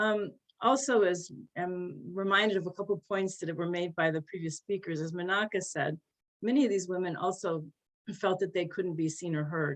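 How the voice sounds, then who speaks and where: In a plain, everyday voice with an American accent, the speaker moves at a moderate pace with ordinary pitch variation. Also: woman, medium pitch for a woman. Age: 60s. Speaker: journalist and editor. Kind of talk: panel talk.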